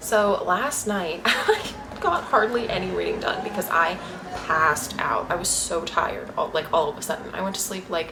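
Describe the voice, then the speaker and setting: A quiet woman's voice at a moderate pace, with audible room echo and noticeable background noise. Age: 20s. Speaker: booktuber. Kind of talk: casual vlog chat. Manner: speaking quietly; animated.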